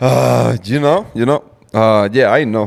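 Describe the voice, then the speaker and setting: A man's fairly low voice in a Cuban accent, at a moderate pace, with ordinary pitch variation. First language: Spanish. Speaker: truck driver and podcaster. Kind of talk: commentary video explaining economics. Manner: repetitive, halting.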